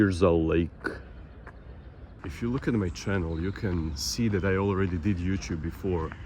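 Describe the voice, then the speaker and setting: In a very deep, low voice with a dark, mellow tone, a man speaks at a moderate pace, somewhat breathy, with ordinary pitch variation. He leaves long, frequent pauses, and room echo is audible. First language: Croatian. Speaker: vlogger. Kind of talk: casual vlog monologue. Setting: outdoors, walking in a park. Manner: halting.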